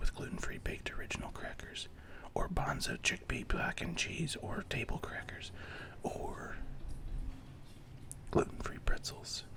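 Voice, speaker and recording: Whispering at a fairly slow pace with long, frequent pauses, a man speaks over noticeable background noise. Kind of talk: asmr whispered grocery store walkthrough, deadpan humorous. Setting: recorded in a grocery store. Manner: whispered.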